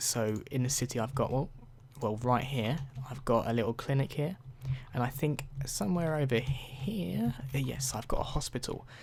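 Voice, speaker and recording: A soft-spoken man with a British accent talks at a moderate pace. His voice sits at a medium pitch and has vocal fry. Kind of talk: ASMR game review. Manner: softer than usual.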